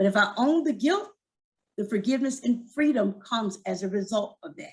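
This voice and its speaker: A somewhat breathy woman talks at a fairly quick pace and fairly high pitch, with lively intonation and big swings in loudness. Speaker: suicide prevention speaker. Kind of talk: talk to church audience. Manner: fast.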